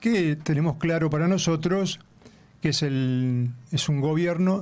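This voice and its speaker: In a Rioplatense accent, a man speaks with ordinary pitch variation. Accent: Argentine Rioplatense Spanish. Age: 60s. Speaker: left-wing political activist. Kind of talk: radio interview.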